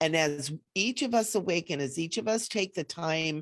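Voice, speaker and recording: A woman with an ordinary speaking voice talks at a moderate pace, her fairly low pitch showing ordinary variation. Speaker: spiritual teacher. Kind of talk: live online event talk.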